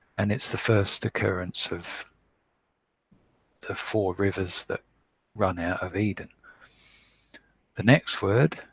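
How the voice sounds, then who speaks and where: Recorded very cleanly against a silent background, a man speaks in a fairly low, somewhat breathy voice. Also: dry, close sound with no echo. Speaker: online Bible teacher. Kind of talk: scripture word study lecture.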